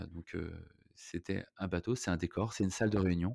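In a very clean recording with a silent background and a dry, close sound with no echo, a man speaks at a fairly quick pace with a very deep, low pitch, fairly even intonation, and a dark, mellow tone. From Brittany (Rennes, Saint-Malo). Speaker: hotel entrepreneur. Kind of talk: casual interview. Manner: halting, many fillers.

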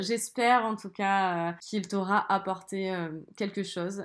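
Very slow and fairly even in intonation, a woman speaks at a medium pitch in a very clean recording with a silent background. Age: 20s. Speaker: podcaster. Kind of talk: solo monologue. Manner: casual, with frequent hesitations.

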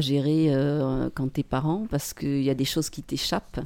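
A woman's dark, mellow tone at a moderate pace. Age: 50s. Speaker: English teacher and mother, podcast guest. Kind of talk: casual interview chat. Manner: hesitant, many repetitions and fillers.

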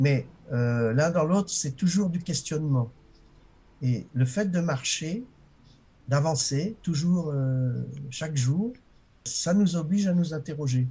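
Speaking very slowly with long, frequent pauses, a man has a fairly high pitch and a dark, mellow, somewhat breathy tone. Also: lively intonation. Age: 60s. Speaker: author and walker. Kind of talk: interview.

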